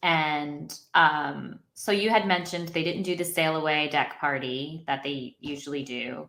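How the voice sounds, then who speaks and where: A woman with a bright, sharp tone and a very deep, low pitch speaks at a fairly slow pace with hardly any pauses and some vocal fry. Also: ordinary pitch variation. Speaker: podcast co-host. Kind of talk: casual chat. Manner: animated.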